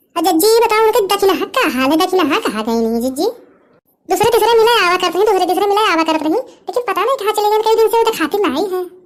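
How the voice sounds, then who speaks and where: A cartoonish character voice, female-sounding, extremely high-pitched, at a fairly quick pace. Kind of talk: rustic village comedy.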